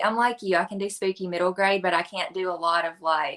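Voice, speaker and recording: Medium pitch and a bright, sharp tone from a woman. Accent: strong Tennessee. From West Tennessee, near Jackson. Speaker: children's librarian, book reviewer. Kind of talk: casual interview chat.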